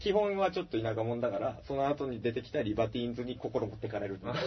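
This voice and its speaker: A man talks at a very fast clip, his pitch swinging very widely. Noticeable background noise sits under the recording. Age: 30s. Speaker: band guitarist and podcast host. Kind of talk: casual chat. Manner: halting, many fillers.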